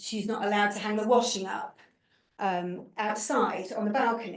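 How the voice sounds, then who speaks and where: Flat and monotone, a woman's medium-pitched voice carries through. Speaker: researcher presenting findings. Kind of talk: research presentation at panel event. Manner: fast; halting, many repetitions.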